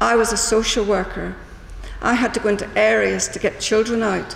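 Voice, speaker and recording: In a Northern Irish accent, a woman speaks fairly slowly at a medium pitch, with audible room echo and noticeable background noise. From Northern Ireland. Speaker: small business owner. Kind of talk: public meeting speech. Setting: town hall public meeting.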